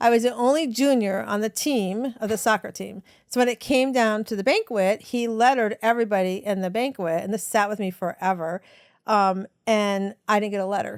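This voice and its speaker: A woman's normal speaking voice, fairly high in pitch, with ordinary pitch variation, a fairly quick pace, and a dry, close sound with no echo on a very clean recording with a silent background. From US South. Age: 60s. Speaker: women's empowerment coach and author. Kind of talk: podcast interview, personal storytelling. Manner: conversational with frequent fillers.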